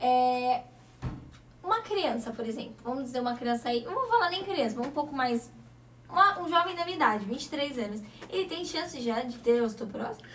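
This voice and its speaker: Over noticeable background noise, a woman with a high voice speaks at a fairly quick pace in an animated tone with lively intonation. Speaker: TV show host. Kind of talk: talk show interview.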